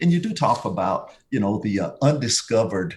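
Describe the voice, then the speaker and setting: With a slight Southern accent, a man speaks at a fairly quick pace, somewhat breathy, with lively intonation. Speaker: tourism bureau executive. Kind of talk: podcast interview. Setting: studio.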